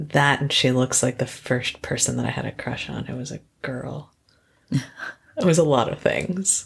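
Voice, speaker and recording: In a soothing, relaxed tone, a woman speaks at a moderate pace with big swings in loudness. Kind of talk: podcast interview answer.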